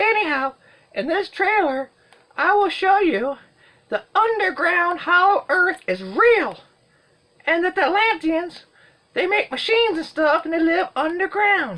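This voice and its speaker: A put-on character voice at an extremely high pitch, broken by long, frequent pauses. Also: moderate pace. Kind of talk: comedic movie review to camera. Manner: silly, rambling, jokey.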